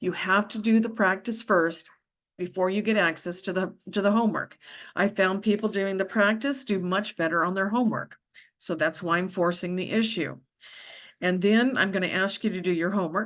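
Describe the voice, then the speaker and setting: A woman speaks with an American accent at a moderate pace. Her intonation is fairly even. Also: medium pitch for a woman, quiet background. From Arizona (Yuma). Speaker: accounting professor. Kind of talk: lecture. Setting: at home.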